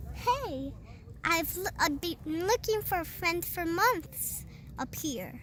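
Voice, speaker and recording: A woman uses a put-on character voice at a fairly slow pace, with long, frequent pauses and clear background noise. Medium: read story.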